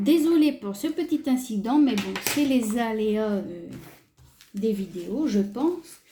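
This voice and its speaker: Against noticeable background noise, a woman with a fairly high pitch talks at a very slow pace. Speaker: craft youtuber. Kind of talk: tutorial. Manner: hesitant, filler-heavy.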